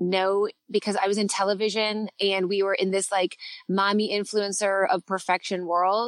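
At a moderate pace, the voice stays monotone and flat with very even loudness, the sound dry and close with no echo against a quiet background. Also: woman. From Canada. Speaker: guest, parenting influencer and former TV co-host. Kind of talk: casual chat, podcast interview.

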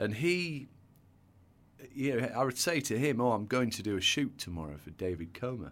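A man with a northern English accent talks at a moderate pace, his medium pitch swinging very widely. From northern England; North Yorkshire. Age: 40s. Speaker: hairdresser and salon entrepreneur. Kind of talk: casual interview chat.

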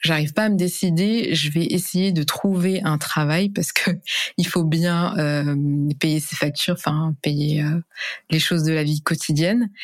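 A woman speaks at a fairly slow pace in a fairly low pitch, her loudness very even and her pitch varying in an ordinary way. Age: 20s. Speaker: e-commerce specialist and influencer. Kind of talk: interview testimony. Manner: hesitant, many fillers.

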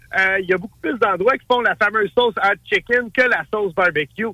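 A man's raised, projected voice at a high pitch carries ordinary pitch variation, the sound dry and close with no echo beneath noticeable background noise. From Montreal. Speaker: chef and TV host. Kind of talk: casual chat.

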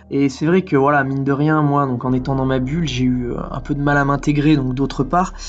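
Noticeable background noise sits behind a man at a fairly high pitch. His intonation is monotone and flat, his pace moderate. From French Alps (Villard-de-Lans). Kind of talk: testimony. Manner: halting, with many fillers and repetitions.

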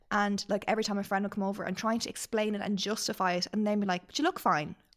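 A woman with an Irish accent talks very fast at medium pitch with fairly even intonation, on a very clean recording with a silent background. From Ireland. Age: 30s. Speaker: podcast guest. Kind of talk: casual chat.

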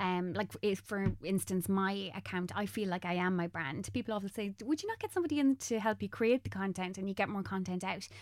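With an Irish accent, a woman speaks at a medium pitch with ordinary pitch variation on a very clean recording against a silent background. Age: 30s. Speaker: makeup artist and content creator. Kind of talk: casual interview chat.

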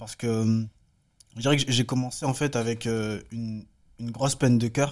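A man talks at a moderate pace and medium pitch, with long, frequent pauses. His intonation stays monotone and flat. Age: 20s. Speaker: film director and photographer. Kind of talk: casual chat.

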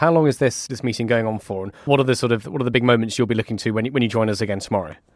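A man with a British accent at medium pitch, very fast, in a dry, close sound with no echo. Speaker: podcast host. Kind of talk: news podcast.

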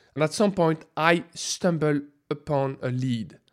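A man speaks in a French accent with ordinary pitch variation. The recording is very clean, the background silent. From France. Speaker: food scientist. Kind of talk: interview.

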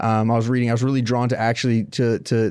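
A man with an American accent speaks at a moderate pace in a normal speaking voice, his pitch medium, on a very clean recording with a silent background. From Florida, Tampa area. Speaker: documentary journalist. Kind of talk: interview about history.

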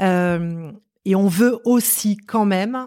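The recording is very clean with a silent background. A woman speaks with ordinary pitch variation. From France, Marseille. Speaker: company director. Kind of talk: interview conversation.

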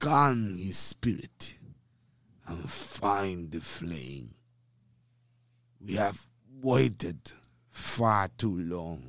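Using a put-on character voice, a man speaks very slowly in a very deep, low pitch, with very wide pitch swings and long, frequent pauses. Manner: halting, slow.

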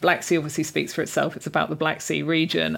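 A woman speaks with a southern English accent at a fairly low pitch. Vocal fry runs through her voice. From southern England (Reading). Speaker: journalist and food writer. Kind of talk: interview.

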